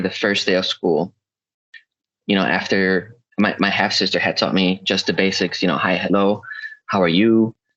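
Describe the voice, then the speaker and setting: This man has a slight Spanish accent and a fairly low pitch, speaking at a moderate pace. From South America (Chile/Peru), moved to US as child. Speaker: podcast guest. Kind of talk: casual chat.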